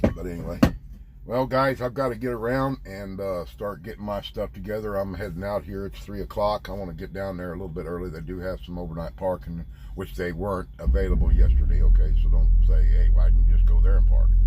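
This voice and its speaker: A man with a very deep, low pitch talks very fast with lively intonation and big swings in loudness. Audible room echo surrounds his voice. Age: 50s. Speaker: truck driver vlogger; military veteran. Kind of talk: casual vlog monologue. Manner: halting.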